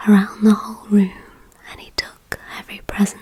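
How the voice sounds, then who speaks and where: A soft-spoken woman is whispering against noticeable background noise. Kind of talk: ASMR whispered story reading. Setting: dimly lit, soothing bedtime atmosphere. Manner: whispered, soft-spoken.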